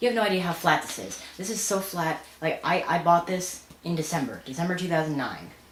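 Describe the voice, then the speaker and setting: Talking at a fairly quick pace with hardly any pauses, the speaker shows ordinary pitch variation. Noticeable background noise and audible room echo fill the recording. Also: woman, fairly low pitch for a woman. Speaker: vlogger. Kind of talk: casual vlog rant. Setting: home, filming alone at night. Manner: fast; halting.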